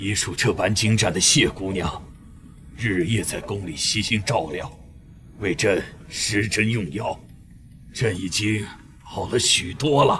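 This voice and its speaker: A man's raspy, put-on character voice, fairly low in pitch, with ordinary pitch variation, long, frequent pauses, and clear background noise. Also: fairly slow pace. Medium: short film. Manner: imperial, measured.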